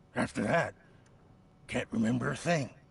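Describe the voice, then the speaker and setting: Using a put-on character voice, a man speaks raspily at a moderate pace and a medium pitch. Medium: video game. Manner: defensive, agitated.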